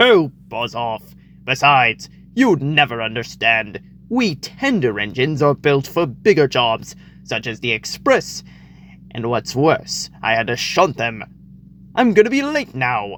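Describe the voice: A put-on character voice at a fairly slow pace. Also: man, medium pitch for a man.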